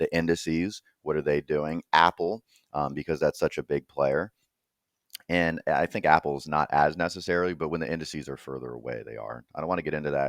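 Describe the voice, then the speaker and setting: Very deep and low, the man's voice carries vocal fry and ordinary pitch variation at a fairly quick pace. The sound is dry and close, with no echo. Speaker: crypto trading analyst. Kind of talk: market analysis commentary. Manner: casual, hesitant with fillers.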